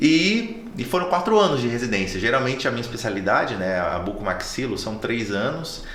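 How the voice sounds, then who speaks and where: A man's medium-pitched voice at a fairly quick pace, very wide pitch swings, hardly any pauses and noticeable background noise. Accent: slight northeastern Brazilian. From Brazil, Natal (Northeast). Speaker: oral and maxillofacial surgeon. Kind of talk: casual chat.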